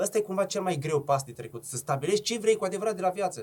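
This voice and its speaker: This man's voice is somewhat breathy. Very wide swings mark his pitch. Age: 30s. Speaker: entrepreneur, restaurant chain founder. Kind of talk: casual chat. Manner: fast.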